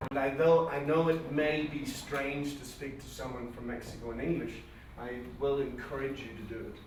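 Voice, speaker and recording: Against noticeable background noise and audible room echo, a man talks at a moderate pace with a fairly high pitch. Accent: Northern Irish. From Northern Ireland. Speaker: seminar trainer. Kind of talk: seminar. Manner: animated.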